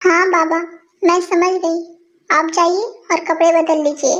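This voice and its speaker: A put-on character voice moves at a moderate pace, its intonation fairly even and its loudness very even. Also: woman, extremely high pitch for a woman. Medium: fan dub. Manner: earnest, sincere.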